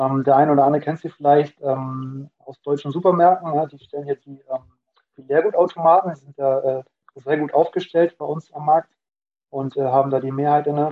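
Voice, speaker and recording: The man's pitch is fairly high, his intonation monotone and flat. He talks at a fairly quick pace with big swings in loudness. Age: 20s. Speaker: student and finance content creator. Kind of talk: casual interview.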